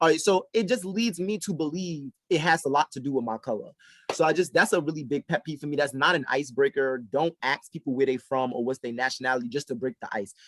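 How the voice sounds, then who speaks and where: A man with a New York accent, fairly high-pitched, with lively intonation at a very fast pace, in a dry, close sound without echo. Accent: sounds like New York. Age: adult. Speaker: podcast co-host. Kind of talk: casual chat. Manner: animated.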